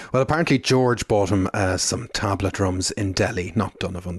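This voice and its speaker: Speaking with an Irish accent, a man keeps a moderate pace and ordinary pitch variation. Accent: Irish brogue. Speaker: podcast host. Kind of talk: casual chat.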